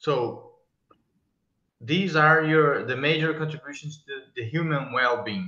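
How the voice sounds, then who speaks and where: Speaking slowly with a Portuguese accent, a man has a bright, sharp tone and ordinary pitch variation. Long, frequent pauses stand out amid audible room echo. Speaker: plant ecology researcher, interviewer. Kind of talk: interview. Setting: video call. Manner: halting. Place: home room. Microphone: earbuds.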